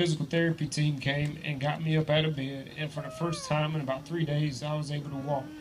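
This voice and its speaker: Noticeable background noise behind a man with an American accent, fairly high pitch for a man, flat monotone delivery and a fairly quick pace. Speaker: teacher and sports coach. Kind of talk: testimony. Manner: reading from a script, halting with fillers.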